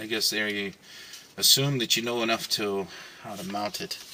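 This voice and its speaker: Mumbling at a fairly slow pace with long, frequent pauses, a man speaks at a fairly low pitch with ordinary pitch variation and big swings in loudness over noticeable background noise. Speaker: van life vlogger. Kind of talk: tutorial. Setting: inside a van. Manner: mumbling to himself.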